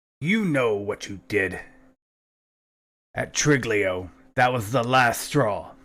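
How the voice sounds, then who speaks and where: Using a raspy, put-on character voice, a man speaks at a very slow pace with long, frequent pauses, a medium pitch and ordinary pitch variation, in a very clean recording with a silent background. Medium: actual play. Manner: curt, authoritative.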